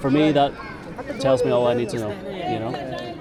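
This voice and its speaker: A man with a fairly high pitch and an Irish accent, crowd noise in the background. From Ireland. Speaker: travel vlogger. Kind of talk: casual street interview.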